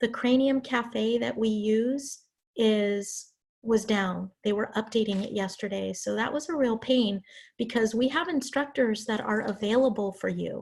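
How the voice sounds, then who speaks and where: Here a woman speaks in a somewhat breathy, fairly high voice. Her pitch varies in an ordinary way. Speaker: college English instructor. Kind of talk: online class lecture. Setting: video call.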